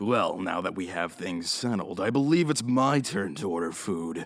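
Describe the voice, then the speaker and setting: Putting on a character voice, a man speaks with a smug tone at a fairly low pitch. His intonation is lively and his pace moderate. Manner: smug, casual.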